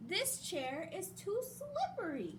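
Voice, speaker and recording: A squeaky, put-on character voice speaks. Background noise is clearly audible. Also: woman. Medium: read story.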